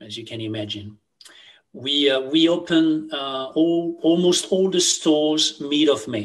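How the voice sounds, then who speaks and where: With a French accent, a man speaks at a moderate pace against a quiet background. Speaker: retail CEO. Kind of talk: interview. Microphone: webcam.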